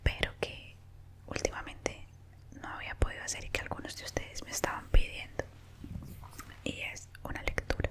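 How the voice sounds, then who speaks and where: A woman whispers at a moderate pace with long, frequent pauses and big swings in loudness, over noticeable background noise. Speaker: ASMR creator. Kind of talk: casual talk to camera. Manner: whispered.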